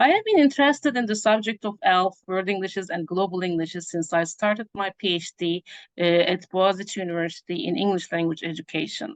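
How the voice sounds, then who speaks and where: Using lively intonation, a woman with a Turkish accent speaks at a fairly quick pace in a dry, close sound with no echo. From Turkey. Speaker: professor. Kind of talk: academic presentation.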